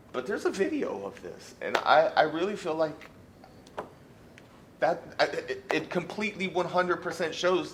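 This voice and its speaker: Loudly, a man speaks with a high pitch. There is noticeable background noise behind him. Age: 40s. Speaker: fired teacher appealing dismissal. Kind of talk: grievance hearing testimony. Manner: halting, repetitive.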